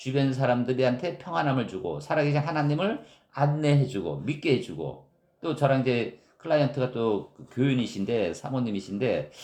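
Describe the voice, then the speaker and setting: A man talks at a moderate pace with a strong Gyeongsang accent. His pitch is fairly high. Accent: Gyeongsang dialect, strong intonation. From Gyeongsang region, South Korea. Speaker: pastor. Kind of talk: sermon.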